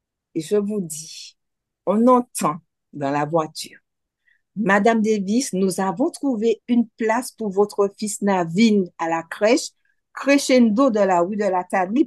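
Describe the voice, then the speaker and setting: A woman speaks at a very slow pace with fairly high pitch, lively intonation and big swings in loudness. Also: dry, close sound with no echo. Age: 60s. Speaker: cancer survivor. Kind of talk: testimony.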